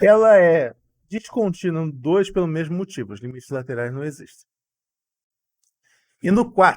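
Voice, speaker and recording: A man talks at a moderate pace in a high pitch, with long, frequent pauses. His pitch swings very widely and his loudness swings a lot. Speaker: math tutor. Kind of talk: live online class.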